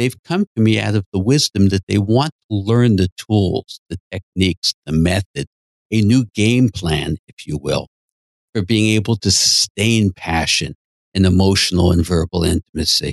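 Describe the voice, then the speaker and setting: In a dry, close sound with no echo, a man has a plain, everyday voice at a fairly low pitch, with ordinary pitch variation and a moderate pace. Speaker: psychotherapist and podcast host. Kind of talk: educational talk and counseling conversation.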